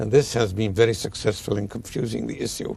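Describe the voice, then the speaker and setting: Somewhat breathy, a man speaks at a fairly quick pace. His intonation stays monotone and flat. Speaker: historian. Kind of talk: interview answer.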